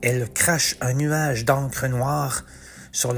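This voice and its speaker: Speaking very slowly at a medium pitch, a man keeps his intonation fairly even over noticeable background noise. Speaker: author and narrator. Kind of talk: dramatic narration of rhyming mythological verse, read aloud as a theatrical epic tale; scripted narration with podcast intro and outro. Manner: measured, storyteller cadence with emphasis on the rhymes and action beats.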